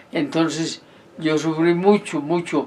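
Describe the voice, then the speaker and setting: There is noticeable background noise behind a man's voice. He speaks at a fairly high pitch with fairly even intonation. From Colombia, Santander (San Gil). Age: 80s+. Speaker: retired army sergeant. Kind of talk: life-story interview. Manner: halting, repeats words.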